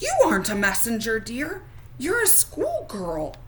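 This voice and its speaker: Against clear background noise, a put-on character voice speaks at a moderate pace. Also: female-sounding voice, high pitch for a woman. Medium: read story.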